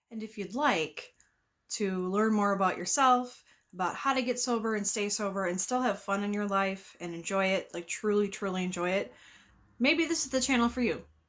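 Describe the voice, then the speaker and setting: With a normal speaking voice, a woman talks at a moderate pace and ordinary pitch variation, recorded very cleanly against a silent background. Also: medium pitch for a woman. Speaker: addiction recovery advocate. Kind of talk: casual talk to camera.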